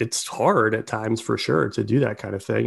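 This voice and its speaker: Speaking with an American accent in a plain, everyday voice, a man keeps a fairly quick pace with ordinary pitch variation on a very clean recording with a silent background. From Baltimore, US. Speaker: sales executive. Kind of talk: interview conversation.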